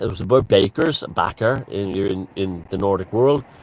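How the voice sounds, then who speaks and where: A man with an Irish accent at a moderate pace. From Ireland. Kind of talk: casual talk to camera. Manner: rambling, conversational.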